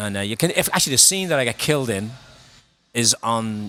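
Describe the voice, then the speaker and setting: Over music in the background, a man with a strong Belfast accent talks at a very fast pace in an animated tone. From Northern Ireland, Belfast. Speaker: singer and actor. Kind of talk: casual chat. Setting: bar.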